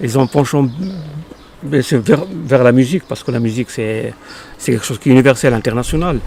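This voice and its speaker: A man at a fairly quick pace with long, frequent pauses, amid noticeable background noise. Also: medium pitch for a man, ordinary pitch variation. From Morocco, Casablanca. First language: Arabic (speaking French). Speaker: poet. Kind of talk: interview. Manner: halting, many hesitations.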